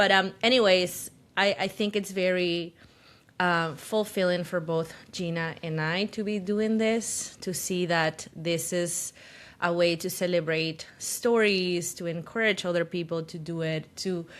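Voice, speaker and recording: Over a silent background in a very clean recording, a woman with a fairly low voice speaks at a fairly slow pace with fairly even intonation. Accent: Spanish. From Peru, Lima. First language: Spanish. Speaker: podcast co-host and photographer. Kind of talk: casual chat. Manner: halting, searching for words.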